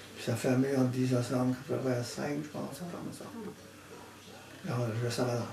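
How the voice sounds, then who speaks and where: A man talks at a moderate pace with fairly even intonation, long, frequent pauses and big swings in loudness. Noticeable background noise and audible room echo fill the recording. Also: medium pitch for a man. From New Brunswick, Acadian Peninsula. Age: 80s+. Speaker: retired construction worker. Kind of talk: casual interview.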